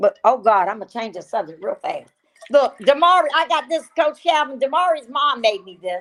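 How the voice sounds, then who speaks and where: A woman's high-pitched, animated voice with very wide pitch swings, big shifts in loudness and a moderate pace. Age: 60s. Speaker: podcast co-host. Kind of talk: casual chat.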